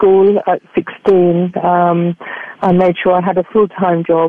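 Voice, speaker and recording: A woman speaks in an English accent at medium pitch, with monotone, flat intonation. Noticeable background noise can be heard. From England. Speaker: spiritual healer and life coach. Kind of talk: interview. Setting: radio show. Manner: fluent.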